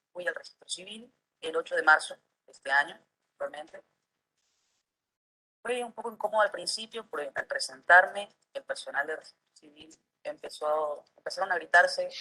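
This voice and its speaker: Moderate pace broken by long, frequent pauses. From Argentina, San Luis. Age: 20s. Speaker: university employee. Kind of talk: testimony.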